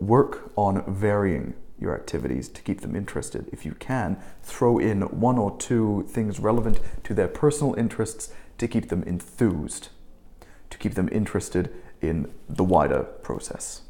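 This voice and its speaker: A man with an Australian accent at a moderate pace. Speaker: English teaching instructor. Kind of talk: tutorial. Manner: halting, self-correcting.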